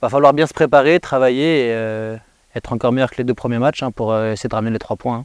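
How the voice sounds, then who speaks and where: A man talks at a very fast pace, his pitch in the medium range. His intonation stays fairly even. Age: 20s. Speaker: professional footballer. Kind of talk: post-match interview. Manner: hesitant, many fillers.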